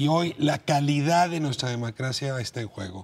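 Somewhat breathy, a man speaks fairly slowly with ordinary pitch variation. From Mexico. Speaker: TV talk show host. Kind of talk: TV panel discussion. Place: studio. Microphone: lapel.

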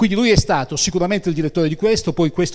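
The man's voice shows ordinary pitch variation. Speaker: event moderator. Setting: stage with audience. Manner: halting.

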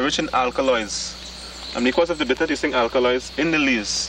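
A man is heard with light background noise and a dry sound with no echo. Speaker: herbal plant guide. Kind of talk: explanatory field demonstration. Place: open country. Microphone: old recording.

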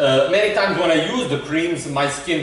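There is audible room echo and light background noise as a man talks with ordinary pitch variation. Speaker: video creator presenting his own theories. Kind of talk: monologue explanation to camera. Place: home room.

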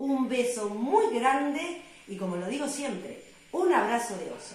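In an Argentine accent, a woman speaks at a high pitch with very wide pitch swings, and audible room echo surrounds her voice. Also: fairly slow pace. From Argentina. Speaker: radio host. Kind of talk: radio show introduction. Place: home room. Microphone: phone near.

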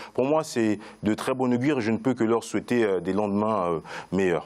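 A man speaks with a Central African accent at a fairly low pitch. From Congo-Brazzaville. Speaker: marketing consultant. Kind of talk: panel discussion. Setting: studio. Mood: calm, measured. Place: studio. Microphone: lapel.

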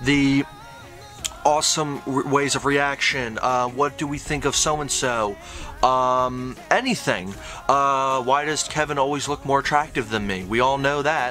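With faint music in the background, a man speaks at a fairly slow pace with ordinary pitch variation. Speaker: reaction channel co-host. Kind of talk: casual vlog chat. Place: home room. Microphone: webcam.

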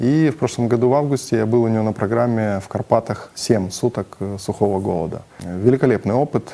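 Fairly quick male speech in a dark, mellow tone. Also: ordinary pitch variation. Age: 40s. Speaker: businessman, fasting program participant. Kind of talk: testimonial; interview answer. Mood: calm, positive. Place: studio. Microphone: lapel.

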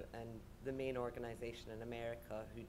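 A woman with a very deep, low pitch and monotone, flat intonation at a moderate pace, under noticeable background noise. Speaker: artist manager. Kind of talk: panel discussion. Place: stage. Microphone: studio mic.

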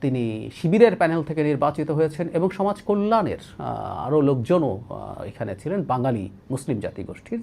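A man's voice carries vocal fry and very wide pitch swings. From Bangladesh, Rangamati district. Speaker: political commentator. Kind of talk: political commentary monologue.

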